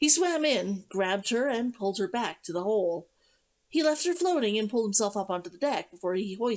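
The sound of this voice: Against a quiet background, an unforced reading voice moves with lively intonation.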